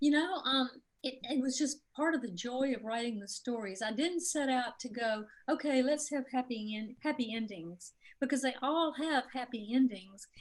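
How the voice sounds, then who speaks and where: A high-pitched woman's voice with a Mississippi accent, ordinary pitch variation and a moderate pace. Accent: Southern US (Mississippi). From Mississippi, US South. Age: 60s. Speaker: author. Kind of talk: interview.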